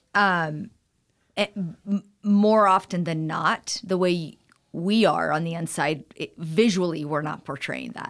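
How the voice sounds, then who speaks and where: A woman with a plain, everyday voice speaks at a fairly slow pace and fairly low pitch, with ordinary pitch variation, in a very clean recording with a silent background. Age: 40s. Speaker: style consultant. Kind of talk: interview. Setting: studio.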